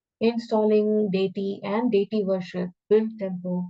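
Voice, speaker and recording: A woman with a normal speaking voice holds a medium pitch and fairly even intonation. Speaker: scripture teacher. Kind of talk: lecture.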